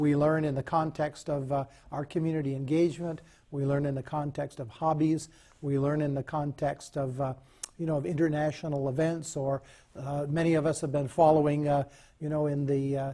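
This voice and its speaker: A man talks at a fairly quick pace in a fairly high pitch, with a dark, mellow tone and a somewhat breathy quality. His intonation is monotone and flat. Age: 60s. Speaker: professor of adult education. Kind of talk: interview.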